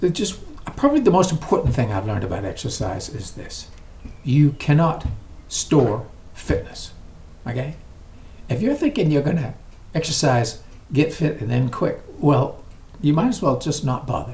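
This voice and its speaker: A man's fairly high voice at a moderate pace, with very wide pitch swings, long, frequent pauses and audible room echo. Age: 80s+. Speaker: exercise vlogger. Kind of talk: casual vlog talk to camera. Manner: conversational, with hesitations.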